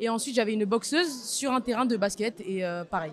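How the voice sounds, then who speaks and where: A woman's plain, everyday voice, fairly high-pitched, with ordinary pitch variation at a moderate pace. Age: 20s. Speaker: young photographer. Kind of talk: interview testimony.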